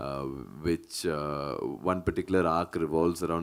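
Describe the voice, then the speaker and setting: Here is a man with a very deep, low pitch. The recording is very clean, with a silent background. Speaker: film actor. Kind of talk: press conference. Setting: press meet.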